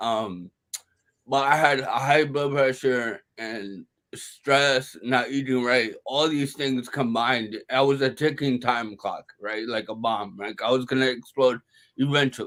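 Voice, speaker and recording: Speaking at a fairly slow pace with an American accent, a man uses an unremarkable speaking voice at medium pitch with fairly even intonation. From Brooklyn, New York. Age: 30s. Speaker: stroke survivor, stand-up comedian. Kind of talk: interview answer.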